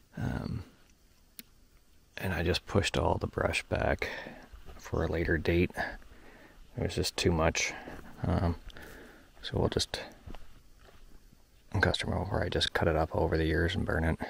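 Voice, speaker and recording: A somewhat breathy man with a very deep, low pitch speaks at a moderate pace with fairly even intonation and long, frequent pauses, the sound dry and close with no echo. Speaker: equipment operator vlogger. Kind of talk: casual vlog narration. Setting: outdoors.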